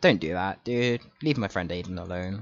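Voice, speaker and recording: A man is speaking. He has a British accent. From Britain. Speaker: video game speedrunner and streamer. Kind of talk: live gameplay commentary. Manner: casual, rambling with fillers.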